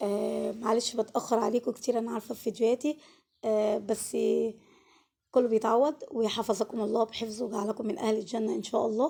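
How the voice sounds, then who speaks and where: Speaking with an Egyptian accent, a woman has a dark, mellow tone. She keeps a moderate pace and fairly even intonation. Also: fairly high pitch for a woman. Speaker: cooking channel host. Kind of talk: cooking tutorial. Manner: casual, chatty.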